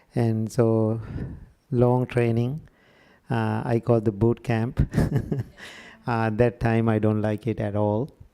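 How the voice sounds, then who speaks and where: Speaking with a Sri Lankan accent, a man talks at a very slow pace in a dark, mellow tone, his intonation monotone and flat, with long, frequent pauses. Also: medium pitch for a man. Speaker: Buddhist monk. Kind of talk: workshop talk.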